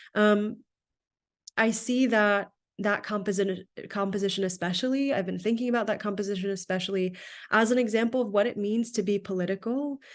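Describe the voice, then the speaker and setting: An unremarkable speaking voice at a fairly quick pace with fairly even intonation, against a quiet background. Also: woman, medium pitch for a woman. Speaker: research associate presenting on Sikh teachings. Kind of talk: lecture.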